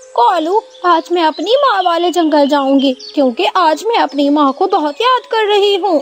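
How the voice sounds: A woman does a cartoonish character voice at an extremely high pitch, with clear background noise behind her. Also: moderate pace.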